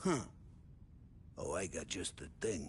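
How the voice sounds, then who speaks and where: A man's loud, raspy put-on character voice over clear background noise. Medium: video game. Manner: loud, jovial.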